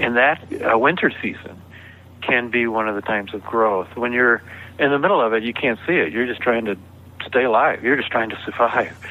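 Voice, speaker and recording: Here is a plain, everyday voice from a man at a medium pitch. He talks at a fairly quick pace with an American accent. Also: ordinary pitch variation. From US South (Georgia). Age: 60s. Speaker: author. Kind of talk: interview conversation.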